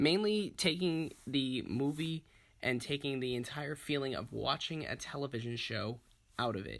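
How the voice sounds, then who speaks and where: This man's voice sits at a medium pitch with ordinary pitch variation. The recording is very clean, with a silent background. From Massachusetts. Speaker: aspiring filmmaker. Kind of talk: pitch presentation. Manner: fast; casual, filler-heavy.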